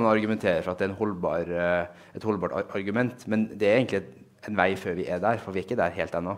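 A man with a fairly low pitch talks in an ordinary speaking voice, his intonation fairly even. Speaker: researcher. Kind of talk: lecture. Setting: stage with audience.

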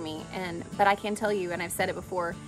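Clear music plays in the background. A woman talks at a fairly quick pace with ordinary pitch variation. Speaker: faith show host. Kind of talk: personal devotional talk. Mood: earnest, reflective. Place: open country.

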